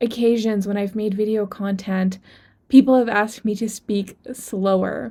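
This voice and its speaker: Speaking at a fairly slow pace, a woman with a fairly high pitch has a dark, mellow tone and ordinary pitch variation. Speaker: online entrepreneur and video creator. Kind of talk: personal story vlog. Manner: deliberately slow, measured pace; somewhat stiff.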